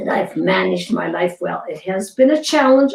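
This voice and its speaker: Her voice is somewhat breathy, and she is a woman. She talks at a moderate pace. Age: 80s+. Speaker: fitness programme creator. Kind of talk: interview.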